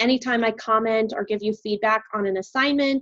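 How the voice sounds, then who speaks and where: The woman has a normal speaking voice, pitched fairly high, with ordinary pitch variation. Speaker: college biology instructor. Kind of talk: lecture.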